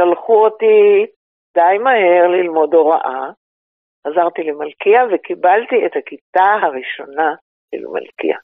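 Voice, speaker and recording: A woman at medium pitch, speaking at a very slow pace with ordinary pitch variation. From Israel (Ra'anana). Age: 80s+. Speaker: tour guide, former teacher. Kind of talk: interview.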